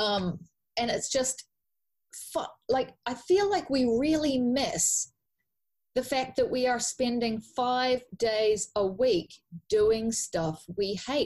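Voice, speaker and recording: Speaking with a New Zealand accent, a woman uses a high pitch and lively intonation. Her pace is very slow, with long, frequent pauses. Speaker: life coach. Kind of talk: podcast interview. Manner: animated.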